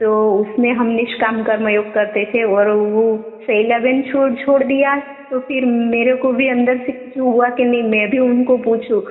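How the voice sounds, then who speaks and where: In a Gujarati accent, a woman speaks at a high pitch with monotone, flat intonation and hardly any pauses. Her loudness stays very even, with noticeable background noise behind her. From Gujarat, India. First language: Gujarati (speaking Hindi). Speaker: devotee sharing experience. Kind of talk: testimony. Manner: halting.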